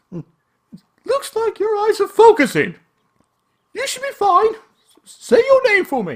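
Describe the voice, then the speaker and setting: A man does a squeaky, put-on character voice at an extremely high pitch. He talks at a fairly slow pace, with long pauses coming often. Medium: game stream. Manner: brisk, bossy.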